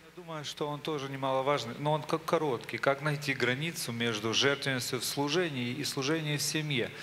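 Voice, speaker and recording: A man talks at a fairly quick pace with hardly any pauses, fairly even intonation and a fairly high pitch. His tone is bright and sharp, with light background noise behind him. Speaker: question reader. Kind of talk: reading questions aloud, bilingual. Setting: church conference with audience. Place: church.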